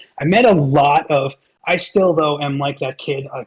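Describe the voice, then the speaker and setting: A somewhat breathy voice with an American accent talks at a moderate pace. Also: man. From New York. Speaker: voiceover actor and merch vendor. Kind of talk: casual chat. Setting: online voice chat.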